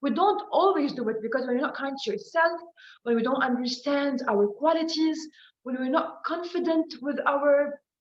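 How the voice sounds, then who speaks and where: Heard with audible room echo, the speech moves at a moderate pace with ordinary pitch variation. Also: woman. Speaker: presenter. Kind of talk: motivational talk.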